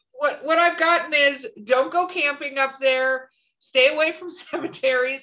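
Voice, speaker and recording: A woman's high, bright, sharp, raised and projected voice with an American accent, at a moderate pace, with ordinary pitch variation and big swings in loudness. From North Carolina Appalachians. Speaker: podcast host. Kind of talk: casual chat.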